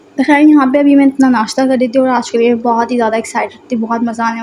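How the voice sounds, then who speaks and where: Over noticeable background noise, a woman with a high pitch speaks at a moderate pace in a monotone, flat intonation. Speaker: vlogger. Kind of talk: vlog voice-over.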